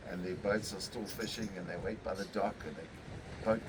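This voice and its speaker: A man speaks over noticeable background noise. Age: 60s. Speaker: fishing charter boat captain. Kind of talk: casual interview. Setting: on location in St Francis Bay.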